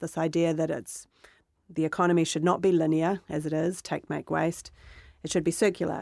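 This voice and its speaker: With a New Zealand accent, a woman speaks at a moderate pace in a fairly low pitch and a monotone, flat intonation, on a very clean recording with a silent background. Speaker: podcast co-host and company founder. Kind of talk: interview answers.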